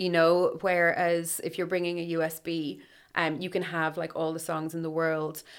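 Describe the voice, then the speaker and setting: With an Irish accent, a woman talks at a moderate pace in a flat monotone, her pitch fairly low. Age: 30s. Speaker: radio DJ. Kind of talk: casual chat.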